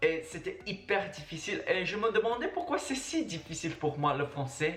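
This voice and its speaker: A fairly slow delivery over background music. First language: Mandarin (speaking French). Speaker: travel and language-learning vlogger. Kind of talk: casual vlog monologue.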